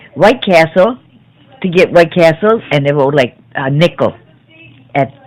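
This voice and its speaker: In a Chicago accent, a woman with a fairly low voice speaks at a fairly slow pace with lively intonation. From US Midwest, South Chicago. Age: 70s. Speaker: grandmother interviewed by grandchild. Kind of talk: family oral history interview. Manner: halting.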